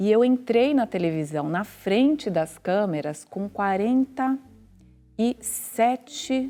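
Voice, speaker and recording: A woman at a fairly high pitch, with very wide pitch swings and a very slow pace, music in the background. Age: 50s. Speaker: TV journalist. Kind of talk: casual chat.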